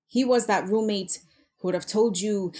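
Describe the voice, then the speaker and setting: A woman with an ordinary speaking voice talks at a moderate pace and medium pitch with ordinary pitch variation, on a very clean recording with a silent background. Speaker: spoken word poet. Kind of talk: spoken word poetry performance.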